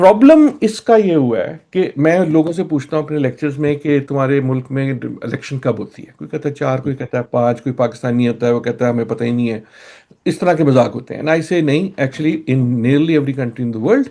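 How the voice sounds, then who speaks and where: Hardly pausing, a man speaks with a dark, mellow tone and a fairly high pitch. His pitch varies in an ordinary way, and the background is quiet. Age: 60s. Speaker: scholar, lecturer. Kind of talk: discussion interview.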